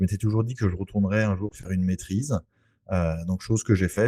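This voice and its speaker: Speaking at a very fast pace, a man with a very deep, low voice and a dark, mellow tone comes through on a very clean recording with a silent background. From French Antilles (Saint-Barthélemy). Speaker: real estate investor. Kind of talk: podcast interview. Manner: hesitant, many fillers.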